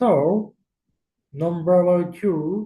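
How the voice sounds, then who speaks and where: With a Japanese accent, the speaker has a dark, mellow tone and ordinary pitch variation. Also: man. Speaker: exchange student. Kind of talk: recorded class presentation.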